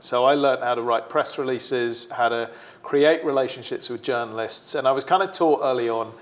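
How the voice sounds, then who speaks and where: With a British accent, a man talks at a medium pitch that varies in an ordinary way. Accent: British, often mistaken for Australian. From UK. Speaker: sports marketing executive. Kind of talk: interview.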